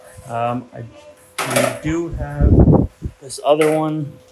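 There is loud background noise as a man speaks with ordinary pitch variation. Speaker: home vlogger. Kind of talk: casual vlog chat. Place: garage. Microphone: phone near.

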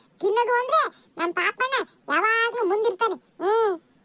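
In a cartoonish character voice, a woman speaks at a moderate pace, squeaky and extremely high in pitch, with ordinary pitch variation. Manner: grumbling, peppered with 'hmm'.

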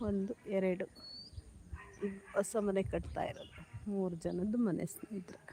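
Noticeable noise runs behind a woman whose intonation stays fairly even. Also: medium pitch for a woman. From Karnataka village. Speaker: lifestyle vlogger. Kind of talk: casual live vlog walkthrough. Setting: outdoors.

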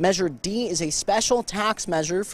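A man talks at a moderate pace with ordinary pitch variation. The sound is dry with no echo. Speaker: TV news reporter. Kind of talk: live news report. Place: street. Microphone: handheld.

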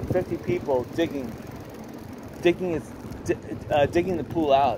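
A man is speaking over noticeable background noise. The sound is dry with no echo. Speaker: cyclist vlogger. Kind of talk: casual vlog chat. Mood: rueful about storm damage. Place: bicycle. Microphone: phone near.

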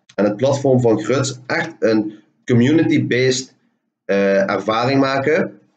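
With a Limburg accent, a man of medium pitch speaks at a very slow pace using ordinary pitch variation. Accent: Limburgish-tinged Dutch. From Hoensbroek, Limburg, Netherlands. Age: 20s. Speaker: communication student presenting thesis. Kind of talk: presentation of project findings. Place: home room. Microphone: webcam.

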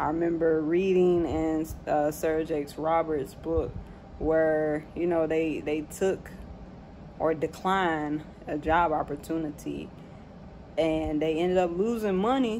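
A woman with a fairly low-pitched voice of dark, mellow tone speaks at a fairly slow pace with fairly even intonation over light background noise. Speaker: vlogger. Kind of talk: casual reflective vlog chat. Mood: reflective, calm. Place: home room. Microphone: phone near.

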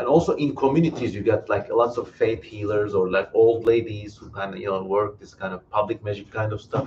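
A fairly low-pitched man talks at a fairly quick pace with hardly any pauses and ordinary pitch variation. His loudness swings widely, with light background noise behind him. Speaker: live stream host. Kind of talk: live Q&A commentary. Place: home room. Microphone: headset.

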